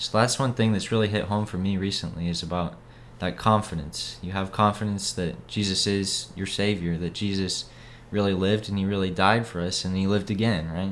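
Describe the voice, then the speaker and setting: A man talks at a fairly quick pace in a normal speaking voice. His pitch is fairly low and his intonation fairly even. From Idaho, Boise. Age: young. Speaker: missionary. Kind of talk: casual interview about faith.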